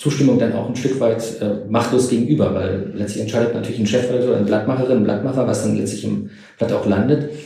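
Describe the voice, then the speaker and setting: A man's medium-pitched voice, dark and mellow with vocal fry and ordinary pitch variation, in audible room echo. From East Germany. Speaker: historian. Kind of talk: interview.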